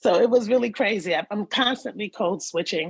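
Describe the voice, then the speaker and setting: A woman speaks with a Bronx accent and lively intonation. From New York City (the Bronx). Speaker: participant in community session. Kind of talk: personal testimony in group discussion.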